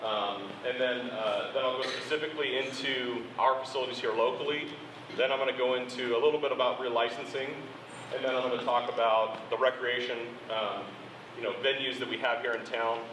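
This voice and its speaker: A man with an American accent speaks at a medium pitch and a fairly quick pace in monotone, flat intonation, with audible room echo and noticeable background noise. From Oroville, northern California, US. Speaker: civil engineer presenter. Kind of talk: public presentation. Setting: public forum, speaking without a microphone. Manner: loud. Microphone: no microphone.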